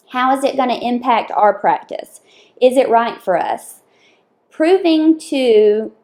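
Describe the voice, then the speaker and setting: This woman speaks with a Southern US accent and lively intonation. Her pace is very slow. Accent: Southern US accent, noticeable. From US South, Lower Alabama. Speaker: dental assistant. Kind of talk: casual interview.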